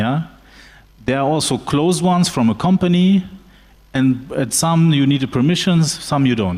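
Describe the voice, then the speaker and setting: A man in a German accent, fairly high-pitched and lively in intonation, at a moderate pace with long, frequent pauses. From Germany. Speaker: lawyer. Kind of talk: panel discussion. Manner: halting, many fillers.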